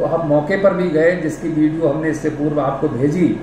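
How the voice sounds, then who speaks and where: A man speaks with fairly even intonation, his voice carrying audible room echo over noticeable background noise. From Uttar Pradesh, India (Pilibhit). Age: 70s. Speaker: landowner making a public appeal. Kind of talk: public appeal statement. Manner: formal.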